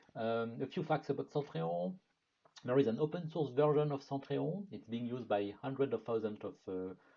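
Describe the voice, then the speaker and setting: A medium-pitched man's voice with a French accent and lively intonation. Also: moderate pace. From France. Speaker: product marketing manager. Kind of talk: webinar presentation. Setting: online webinar.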